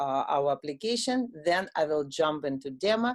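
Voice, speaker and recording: With a Russian accent and a dark, mellow tone, a woman speaks at a fairly slow pace with lively intonation against a quiet background. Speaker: software product owner. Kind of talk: product demo. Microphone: video call.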